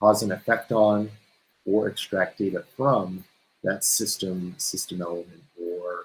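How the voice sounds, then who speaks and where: A man with an American accent has an unremarkable speaking voice, fairly low in pitch, with fairly even intonation and a fairly slow pace. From California. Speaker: solutions engineer. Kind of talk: technical webinar presentation. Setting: video webinar.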